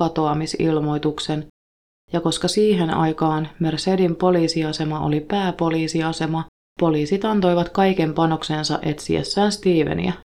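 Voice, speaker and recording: At a fairly slow pace, a woman speaks in a fairly low, dark, mellow tone with fairly even intonation. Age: 30s. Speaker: true crime podcast host. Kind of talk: scripted narration. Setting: recording in a sauna.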